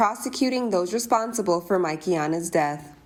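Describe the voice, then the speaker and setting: Over noticeable background noise, a woman with an American accent talks at a medium pitch and moderate pace. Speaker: news reporter. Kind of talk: TV news package narration.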